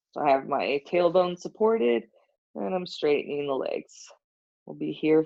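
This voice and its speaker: A soft-spoken woman at a moderate pace. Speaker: yoga teacher. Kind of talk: guided yoga class instruction. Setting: live stream.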